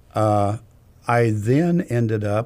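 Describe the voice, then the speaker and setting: A man with a fairly low pitch speaks in a dark, mellow tone with ordinary pitch variation. The recording is very clean, with a silent background. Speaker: nonprofit finance director. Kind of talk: interview.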